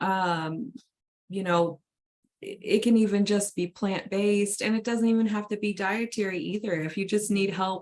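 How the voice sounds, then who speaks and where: This is a plain, everyday voice. It moves at a moderate pace with fairly even intonation. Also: woman, medium pitch for a woman. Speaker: wellness coach. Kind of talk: livestream chat.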